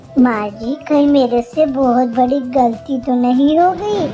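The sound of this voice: A female-sounding, cartoonish character voice pitched high plays over clear music in the background.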